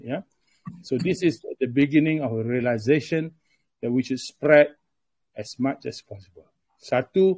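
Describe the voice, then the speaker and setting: The sound is dry and close with no echo, and the man's voice is somewhat breathy. He speaks at a very slow pace with ordinary pitch variation. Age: 70s. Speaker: movement chairman. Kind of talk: talk to supporters on video conference. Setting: video conference. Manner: hesitant, many fillers.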